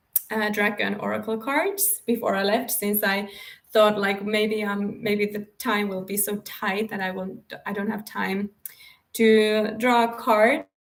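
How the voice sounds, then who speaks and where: Her voice is fairly high-pitched, with a non-native accent. This woman speaks in a monotone, flat intonation. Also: fairly slow pace. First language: not English. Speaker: spiritual coach and author. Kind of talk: live stream talk. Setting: live stream. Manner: halting.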